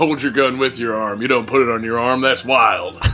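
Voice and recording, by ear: Clear music plays behind a man using a put-on character voice. He talks at a fairly quick pace and a medium pitch.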